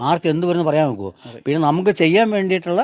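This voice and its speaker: The speaker is a man with a normal speaking voice. His pitch varies in an ordinary way. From Kerala, Kollam district. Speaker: retired health department employee, charity donor. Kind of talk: interview.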